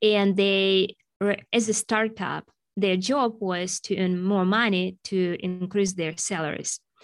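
A woman with a Russian accent speaks very slowly at a medium pitch with fairly even intonation over a quiet background. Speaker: sales executive and agile coach. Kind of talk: podcast interview.

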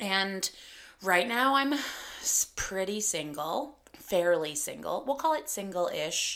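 A woman with a Canadian accent, bright and sharp in tone, fairly slow, with very wide pitch swings. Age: 30s. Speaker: podcast host and comedian. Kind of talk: casual solo podcast monologue.

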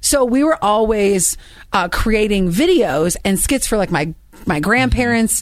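Lively intonation colors this woman's speech at a medium pitch. It is a plain, everyday voice at a moderate pace. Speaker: radio host. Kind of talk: casual chat.

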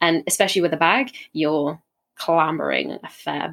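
A woman's very deep, low voice with a bright, sharp tone, vocal fry and ordinary pitch variation. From south coast of England. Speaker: aspiring adventurer, hiker. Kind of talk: casual interview chat.

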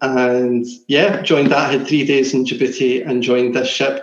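With a Glasgow accent, a man speaks at a medium pitch. He keeps a moderate pace and fairly even intonation. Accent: Scottish (Glasgow area). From Scotland (Lenzie, near Glasgow). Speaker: former seafarer. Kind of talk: casual chat.

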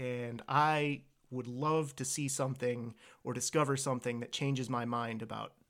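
An unremarkable speaking voice from a man with an American accent, medium in pitch, with fairly even intonation. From US, Virginia. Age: 30s. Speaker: podcast co-host. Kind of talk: casual chat.

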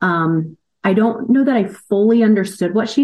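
A woman with a Midwestern American accent speaks with lively intonation. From US Midwest, Indiana (Indianapolis area). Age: 40s. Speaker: executive assistant. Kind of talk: interview.

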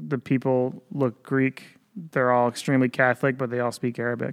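In a normal speaking voice with an American accent, a man speaks at a moderate pace and medium pitch with fairly even intonation, the sound dry and close with no echo. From upstate New York. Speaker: military public affairs specialist. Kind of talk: interview.

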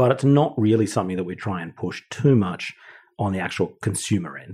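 Over a very clean recording with a silent background, a man with an Australian accent talks fairly quickly in a dark, mellow tone at a fairly low pitch, with lively intonation. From Australia (Wagga Wagga, Sydney). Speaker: brewing director. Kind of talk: casual chat.

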